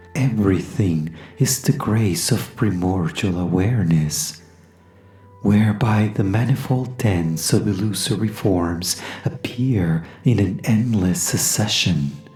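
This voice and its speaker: Music plays in the background as the voice moves at a very slow pace in a calm tone. The intonation is lively while the loudness stays very even. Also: woman, very deep, low pitch for a woman. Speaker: voice actor. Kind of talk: poetry reading. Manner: calm, slow.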